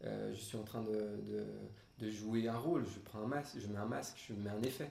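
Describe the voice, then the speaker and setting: Male speech at a medium tempo, pitched rather low, with clear room reverberation and a fair amount of surrounding noise. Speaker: guitar teacher. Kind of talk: webinar talk. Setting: online webinar. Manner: hesitant, many fillers.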